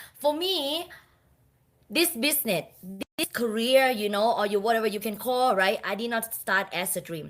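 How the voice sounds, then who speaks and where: A woman speaks with a Thai accent in a fairly high voice. Her intonation is lively and her pace moderate. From Thailand. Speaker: speaker, business team leader. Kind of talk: motivational speech, personal story.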